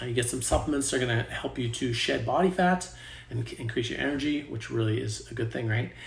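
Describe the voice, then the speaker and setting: Vocal fry runs through a man's medium-pitched voice as he talks at a fairly quick pace with ordinary pitch variation. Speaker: fitness coach. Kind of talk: sales pitch; tutorial. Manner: fast.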